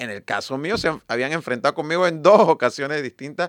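A man talks at a fairly quick pace and a fairly high pitch. He has an unremarkable speaking voice, heard against a quiet background. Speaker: party leader and presidential hopeful. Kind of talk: radio interview.

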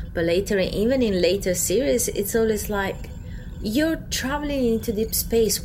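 Over noticeable background noise, a woman with a non-native accent speaks at a moderate pace, her fairly high pitch carrying lively intonation. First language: not English. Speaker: podcast co-host. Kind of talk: casual chat.

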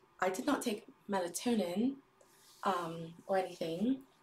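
A woman with a British accent speaks in a somewhat breathy voice. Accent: put-on British accent in this stream. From US Midwest. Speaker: livestreamer. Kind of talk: casual livestream chat. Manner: hesitant, many fillers.

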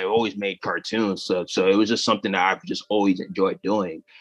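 With an American accent and lively intonation, a man talks at a fairly quick pace as music plays in the background. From Western Massachusetts, US. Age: 20s. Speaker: animator and comedian. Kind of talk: interview.

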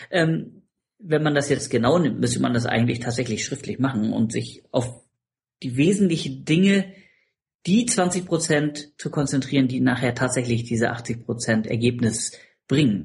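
Using lively intonation and vocal fry, a man talks at medium pitch and a moderate pace. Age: 40s. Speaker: competitive swimmer and business consultant. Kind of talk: casual interview.

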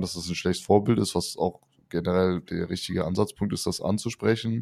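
Very clean, with a silent background, the recording has a man speaking at a fairly quick pace with a very deep, low pitch, a dark, mellow tone and fairly even intonation. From Rhineland, near Cologne. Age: 30s. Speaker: podcast co-host. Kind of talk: casual chat.

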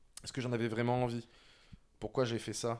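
A man delivers his words fairly quickly. The background is silent and the recording very clean. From France. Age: 30s. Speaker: creative agency director. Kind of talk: personal testimony interview.

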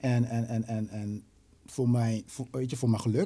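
The voice has a dark, mellow tone, a somewhat breathy quality and fairly even intonation. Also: man. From Netherlands, Rotterdam. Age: 20s. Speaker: musician and songwriter. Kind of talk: casual chat.

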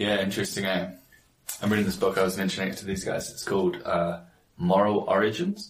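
A man speaks in a New Zealand accent with a fairly low pitch. His delivery is monotone and flat. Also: fairly quick pace. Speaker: entrepreneur and father. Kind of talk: casual chat.

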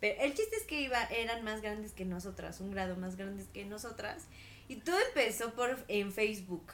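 Speaking at a moderate pace, a woman with a fairly high pitch uses ordinary pitch variation. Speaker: podcast co-host. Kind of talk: casual chat.

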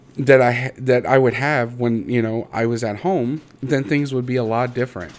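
With a Midwestern American accent, a man speaks at a medium pitch. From Indiana, US Midwest. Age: 30s. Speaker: podcast host. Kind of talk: personal monologue. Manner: halting, many fillers.

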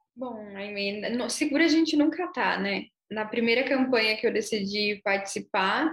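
A woman's normal speaking voice, fairly high in pitch, with ordinary pitch variation and a fairly slow pace. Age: 20s. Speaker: city councillor. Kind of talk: panel discussion.

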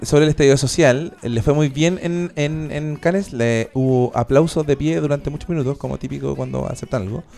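A man with a Chilean accent at a fairly quick pace, with hardly any pauses and music in the background. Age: 30s. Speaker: podcast host, radio presenter. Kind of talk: casual chat.

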